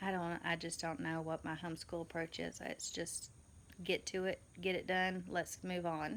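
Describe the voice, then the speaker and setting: The voice carries a Southern accent. It moves at a moderate pace with fairly even intonation. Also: woman, fairly low pitch for a woman. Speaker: homeschooling mother, vlogger. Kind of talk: casual vlog. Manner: hesitant, many fillers.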